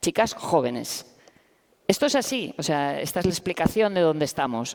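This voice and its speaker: A woman is speaking here. Her intonation is lively. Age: 50s. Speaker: professor and activist. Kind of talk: panel discussion. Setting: stage with audience.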